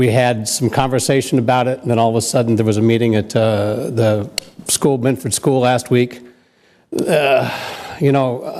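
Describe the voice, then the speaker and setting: Keeping a very even loudness, a man talks at a medium pitch and a moderate pace with fairly even intonation. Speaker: public commenter at council meeting. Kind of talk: public comment. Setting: council chamber meeting. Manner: hesitant with fillers.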